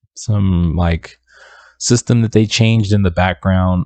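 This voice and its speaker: Soft-spoken, with ordinary pitch variation and a dry, close sound with no echo. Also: man. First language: not English. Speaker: independent music producer and YouTuber. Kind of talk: casual tutorial talk to camera.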